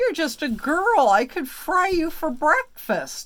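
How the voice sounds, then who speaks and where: A woman uses a put-on character voice with a high pitch and very wide pitch swings. Her pace is fairly slow. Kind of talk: bedtime story. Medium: read story. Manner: soft-hearted, unsure of himself.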